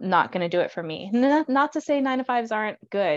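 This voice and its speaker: A woman with a normal speaking voice, lively intonation and a moderate pace. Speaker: guest book discussant. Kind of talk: casual chat about a book. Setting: video call.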